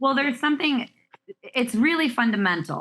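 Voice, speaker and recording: Loud and animated, a woman talks at a very fast pace with ordinary pitch variation and a bright, sharp tone. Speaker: relationship expert. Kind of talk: casual chat.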